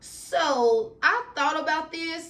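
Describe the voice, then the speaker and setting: This is a woman speaking. She talks in a Southern US accent. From Alabama, USA. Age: adult. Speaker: YouTuber. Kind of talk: storytime talk to camera. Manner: casual.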